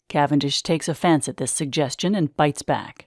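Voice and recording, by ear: A man's fairly high voice at a moderate pace, with ordinary pitch variation, dry and close with no echo on a very clean recording with a silent background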